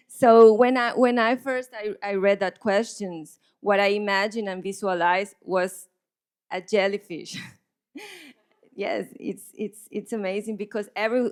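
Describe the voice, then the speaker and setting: Speaking in a Spanish accent, a woman uses a medium pitch. Her pace is moderate and her intonation fairly even. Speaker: visual artist. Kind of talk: panel conversation. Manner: halting, many repetitions.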